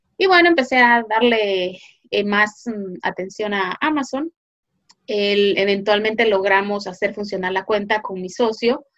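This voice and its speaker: At a fairly slow pace, a woman talks in a normal speaking voice of medium pitch with ordinary pitch variation. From Guatemala. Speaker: online business consultant. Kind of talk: interview.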